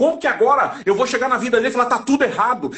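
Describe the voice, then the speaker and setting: An extremely high-pitched man speaks at a very fast pace in an animated tone. Noticeable background noise runs underneath. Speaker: evangelical Bible teacher. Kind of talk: religious discussion on livestream. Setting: online live stream.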